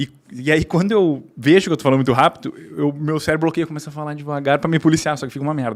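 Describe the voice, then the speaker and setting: This man talks very fast, his pitch sitting fairly high. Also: fairly even intonation. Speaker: veterinarian and pet business owner. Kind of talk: podcast interview.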